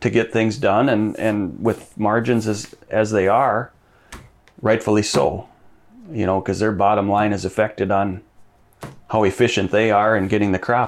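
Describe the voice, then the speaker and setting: Fairly low-pitched male voice with an Upper Midwest accent and fairly even intonation. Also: moderate pace. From Minnesota. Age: 40s. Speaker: farm equipment dealer. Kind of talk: interview. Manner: halting.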